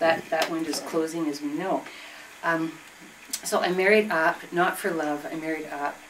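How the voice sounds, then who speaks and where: A woman with a Canadian accent and a fairly low pitch speaks against noticeable background noise. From southern Ontario, Canada. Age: 60s. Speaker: retired school teacher and feminist activist. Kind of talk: group discussion, personal testimony. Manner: halting, with many fillers and restarts.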